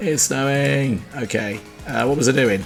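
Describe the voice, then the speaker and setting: Someone with a British accent speaks quietly while music plays in the background. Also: man. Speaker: retro game reviewer. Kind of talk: gameplay commentary.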